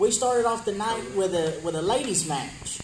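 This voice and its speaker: A man's high voice in a Southern US accent, lively in intonation and moderate in pace, with noticeable background noise. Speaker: wrestling promotion interviewer. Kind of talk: wrestling promo interview.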